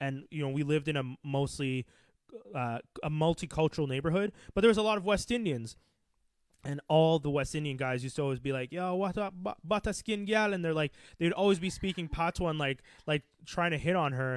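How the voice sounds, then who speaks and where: A man uses a plain, everyday voice, fairly high-pitched and fairly quick, with ordinary pitch variation, on a very clean recording with a silent background. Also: dry, close sound with no echo. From Quebec, Canada. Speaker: podcast host. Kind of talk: casual chat.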